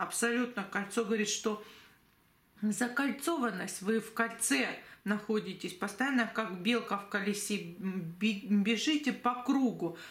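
Speaking at a very slow pace in a room with audible echo, a woman uses a fairly high pitch and ordinary pitch variation. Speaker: tarot reader and psychic. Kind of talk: tarot reading video monologue.

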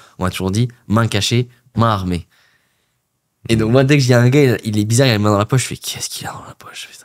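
A man speaks very fast at a medium pitch, with fairly even intonation. His loudness swings widely, and he takes long, frequent pauses. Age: late 20s. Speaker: podcast host. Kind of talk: casual interview. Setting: studio.

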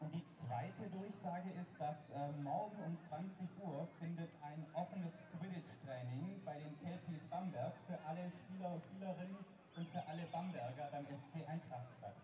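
A man's high-pitched voice at a moderate pace, with ordinary pitch variation, hardly any pauses and noticeable background noise. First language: German. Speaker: event announcer. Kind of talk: announcement.

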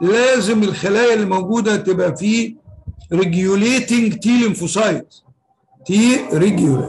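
High-pitched for a man, his voice moves at a moderate pace with ordinary pitch variation. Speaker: professor. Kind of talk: lecture.

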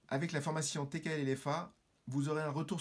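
At a moderate pace, a man with a fairly high pitch speaks in a somewhat breathy voice with fairly even intonation. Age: 50s. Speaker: business owner, course student. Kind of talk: testimonial. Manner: formal. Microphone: phone near.

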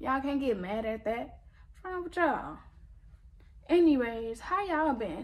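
A woman talks at a moderate pace in a high voice that swings very widely in pitch. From US. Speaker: YouTuber. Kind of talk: angry rant. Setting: home video recording. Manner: indignant, sassy. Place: home room. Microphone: phone near.

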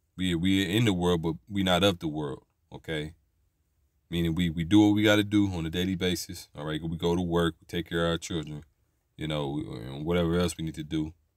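A man with a very deep, low voice speaks at a fairly quick pace with fairly even intonation. The recording is very clean, with a silent background. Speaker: religious preacher. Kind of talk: angry religious rant, fiery sermon-style exhortation. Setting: solo video address. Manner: fervent, emphatic, indignant, punctuated by repeated 'all right'; preachy, declaratory, condemning.

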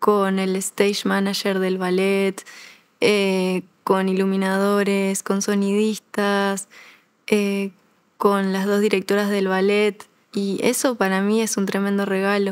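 With a Uruguayan accent, a woman at medium pitch speaks very slowly in a monotone, flat delivery with long, frequent pauses against a quiet background. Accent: Rioplatense Spanish (Uruguayan). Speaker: ballet dancer; interviewee. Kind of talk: interview. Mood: warm, grateful, smiling. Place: studio. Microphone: lapel.

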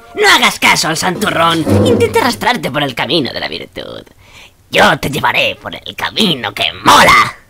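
Cartoonish character voice from a high-pitched man at a moderate pace. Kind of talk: comic cartoon dubbing. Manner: cocky, mocking, persuasive.

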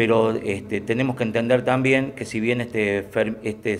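A man is speaking at a moderate pace. His intonation stays monotone and flat. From Argentina, Córdoba province. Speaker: local political candidate; candidate. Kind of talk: press conference announcement. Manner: formal; halting with fillers. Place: meeting room. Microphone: podium.

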